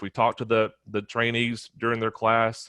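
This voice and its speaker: Over a quiet background, a man with a medium-pitched voice is heard in a dry, close sound with no echo. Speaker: police wellness unit staff. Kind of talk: conference talk. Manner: fast.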